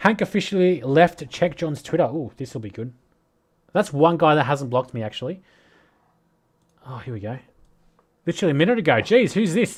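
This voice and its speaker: With an Australian accent, a man speaks at a fairly high pitch and a fairly quick pace, using very wide pitch swings, big swings in loudness and long, frequent pauses. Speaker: crypto commentator livestreamer. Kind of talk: livestream commentary.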